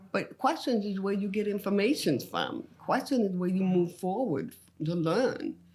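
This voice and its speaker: Somewhat breathy, a woman at medium pitch talks at a moderate pace with lively intonation. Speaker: comedian. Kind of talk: podcast interview.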